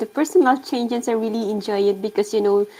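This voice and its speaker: A woman with a non-native accent speaks at a fairly quick pace in a dark, mellow tone with a fairly high pitch. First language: not English. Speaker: interview host, online business owner. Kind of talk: interview. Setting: livestream.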